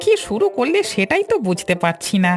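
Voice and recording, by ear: A cartoonish character voice talks at a moderate pace. Music is clearly audible in the background. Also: female-sounding voice.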